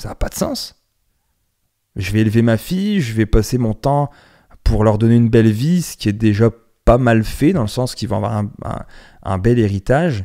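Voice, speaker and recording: At a moderate pace, a man speaks with medium pitch, ordinary pitch variation and a dark, mellow tone. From France. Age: 30s. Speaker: podcast host. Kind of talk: casual monologue podcast. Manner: hesitant, repeats words.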